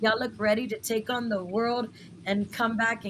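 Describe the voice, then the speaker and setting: A woman's fairly high voice in an American accent at a fairly slow pace. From West Texas, Lubbock. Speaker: talk show host. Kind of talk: live interview show. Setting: live broadcast studio.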